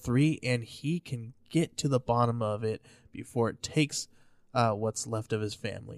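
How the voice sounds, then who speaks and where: Here a man speaks at a medium pitch and a fairly slow pace with fairly even intonation, in a plain, everyday voice. The sound is dry and close with no echo, on a very clean recording with a silent background. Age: 30s. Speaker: podcast co-host. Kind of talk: casual chat.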